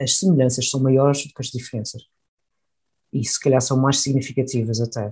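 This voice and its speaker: With a dark, mellow tone, a man speaks somewhat breathily at medium pitch, keeping his intonation fairly even. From Madeira, Portugal. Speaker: engineer and company head. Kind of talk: interview.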